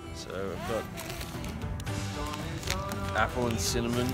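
Over loud background music, a man speaks at a moderate pace with ordinary pitch variation in a dry sound with no echo. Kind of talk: casual vlog chat. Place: open country. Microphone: phone near.

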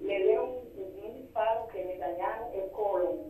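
A woman speaks at a medium pitch in a dark, mellow tone. Strong room echo surrounds her voice.

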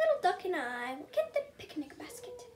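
In a put-on character voice, a woman speaks at a moderate pace, extremely high-pitched and squeaky, with very wide pitch swings. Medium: read story. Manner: storybook expressive.

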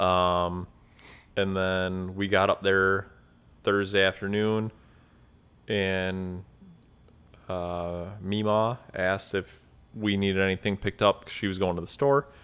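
A man with an American accent, a very deep, low pitch, monotone, flat intonation, a fairly slow pace and long, frequent pauses. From Wisconsin. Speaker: podcast co-host. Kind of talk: casual chat. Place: home room. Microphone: studio mic.

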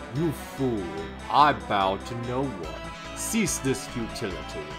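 A man puts on a character voice at a fairly slow pace. Loud music plays in the background. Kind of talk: archaic, formal. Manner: haughty, commanding.

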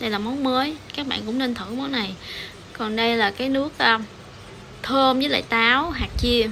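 A woman speaks at a high pitch and a moderate pace, with ordinary pitch variation. Long, frequent pauses break her speech over light background noise. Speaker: food vlogger. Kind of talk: casual vlog chat. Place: cafe. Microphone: phone near.

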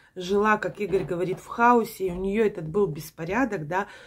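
Speaking fairly slowly, the woman lets her pitch vary in an ordinary way. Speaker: vlogger. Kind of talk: casual vlog chat. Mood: reflective, mildly puzzled. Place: home room. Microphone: phone near.

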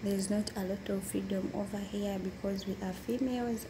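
A woman talks at a moderate pace. Noticeable background noise runs underneath. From Uganda. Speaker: domestic worker. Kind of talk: interview. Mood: calm, sometimes smiling. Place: home room. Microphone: phone near.

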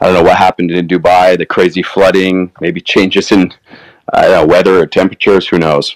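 A man rattles off words at a very fast pace in a very deep, low pitch with monotone, flat intonation and a dry, close sound with no echo. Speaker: crypto industry panelist. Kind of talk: panel discussion.

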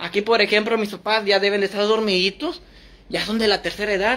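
The man talks at a fairly quick pace. His pitch is high. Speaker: livestreamer. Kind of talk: casual livestream chat. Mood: relaxed, late-night.

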